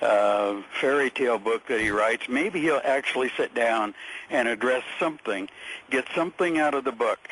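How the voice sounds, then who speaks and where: A man speaks with lively intonation and very even loudness. Noticeable background noise runs behind him. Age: 60s. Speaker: caller, equities businessman. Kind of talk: radio call-in conversation. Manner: halting, many fillers.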